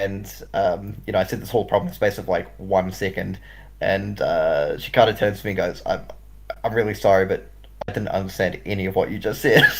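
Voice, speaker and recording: A man speaks with a slight New Zealand accent. He talks at a fairly quick pace. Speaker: esports commentator. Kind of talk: live commentary. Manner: fast; mumbling at times.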